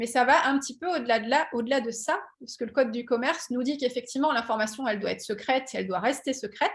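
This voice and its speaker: A woman's high voice at a very fast pace, with ordinary pitch variation. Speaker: patent engineer and startup founder. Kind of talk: webinar presentation. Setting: online webinar. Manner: many hesitations and fillers.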